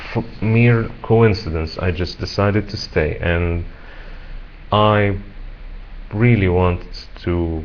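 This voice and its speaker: Against audible room echo, a man with a fairly low pitch talks at a very slow pace. His intonation is fairly even, and he leaves long, frequent pauses. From Egypt. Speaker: English teacher. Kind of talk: self-introduction video. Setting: webcam recording. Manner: halting, with fillers and repetitions.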